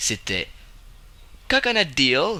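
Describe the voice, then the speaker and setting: A man speaks with a Quebec accent and vocal fry. His pace is very slow. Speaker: gaming youtuber. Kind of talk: video game commentary. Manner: halting. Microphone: slight crackle noise from the microphone.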